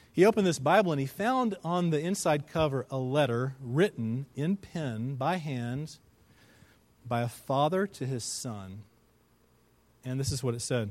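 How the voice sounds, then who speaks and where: A man's fairly high voice, fairly slow in pace, with lively intonation and a normal speaking voice. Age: 40s. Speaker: pastor. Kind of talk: sermon.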